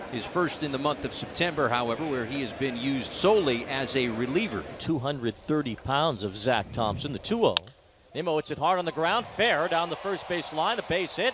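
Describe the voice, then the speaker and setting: A man with a fairly high pitch and lively intonation talks over noticeable background noise. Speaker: baseball commentator. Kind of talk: live play-by-play sports commentary. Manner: rapid, energetic play-by-play calls with bursts of excitement; light, jokey asides between calls.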